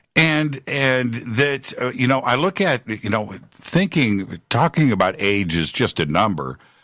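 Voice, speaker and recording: A man talks at a fairly slow pace with hardly any pauses, his tone bright and sharp with vocal fry. His pitch swings very widely. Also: medium pitch for a man, very clean recording, silent background. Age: 50s. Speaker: radio host. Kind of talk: talk radio hosting; casual chat.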